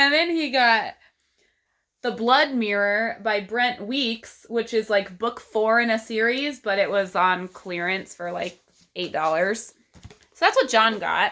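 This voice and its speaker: With a Texas accent, a woman speaks very slowly in a bright, sharp tone at a fairly high pitch. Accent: Texas accent, long vowels. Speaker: book vlogger. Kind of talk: casual vlog talk.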